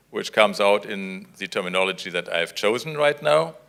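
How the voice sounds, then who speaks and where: A man's bright, sharp voice with a German accent, at a moderate pace. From Germany. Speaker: diplomat, chief guest. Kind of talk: formal speech. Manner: hesitant, with filler sounds.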